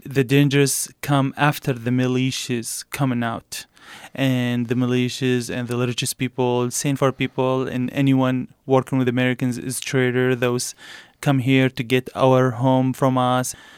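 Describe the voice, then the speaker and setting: Speaking at a fairly slow pace with a monotone, flat intonation, a medium-pitched man with an Arabic accent comes through in a very clean recording with a silent background and a dry, close sound with no echo. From Iraq, south. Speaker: refugee, former military translator. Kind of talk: interview.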